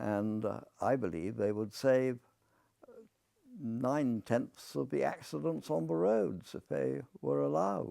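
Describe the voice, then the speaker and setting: Speaking fairly slowly with an English accent, a man uses a fairly low, dark and mellow voice that swings very widely in pitch. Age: 80s+. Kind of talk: monologue to camera. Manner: halting, with frequent fillers.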